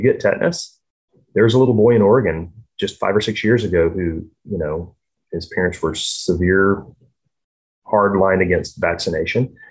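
A man's very deep, low, somewhat breathy voice at a very fast pace, with fairly even intonation. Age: 40s. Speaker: vaccine trial participant. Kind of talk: casual chat.

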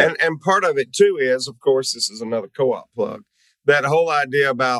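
A man speaks with a Southern US accent at a medium pitch. His pace is fairly quick, with ordinary pitch variation. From US South. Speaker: webinar host. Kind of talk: interview. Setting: video call.

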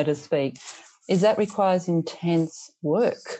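Over a quiet background, a woman with an Australian accent speaks in a dark, mellow tone. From rural Australia. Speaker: teacher and education leader. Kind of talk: casual interview conversation.

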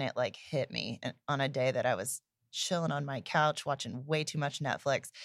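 On a very clean recording with a silent background, a woman with an American accent speaks at a moderate pace in a very deep, low voice. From Indiana, US Midwest. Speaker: entrepreneur, company co-founder. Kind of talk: casual chat.

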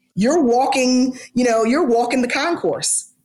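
A woman's fairly high voice at a moderate pace, animated in tone, with lively intonation and audible room echo. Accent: American. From US South, Atlanta. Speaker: sports team HR executive. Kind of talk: interview.

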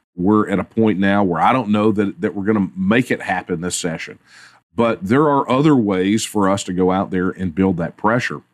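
Against a quiet background, a man with a Texan accent speaks at a moderate pace, his fairly low pitch showing ordinary variation. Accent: Texan Southern US. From Texas. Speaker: political activist. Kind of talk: interview.

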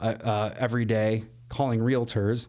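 A man in a Chicago accent, medium in pitch, with a dark, mellow tone, monotone, flat intonation and a moderate pace. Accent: Chicago-area American. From northern Illinois, Elgin. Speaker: mortgage loan officer. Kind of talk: casual interview chat.

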